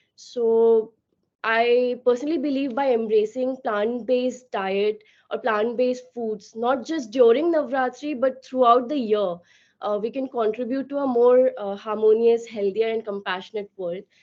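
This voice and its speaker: Loud delivery with fairly even intonation. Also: woman, fairly high pitch for a woman, moderate pace. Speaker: company founder. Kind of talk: webinar talk.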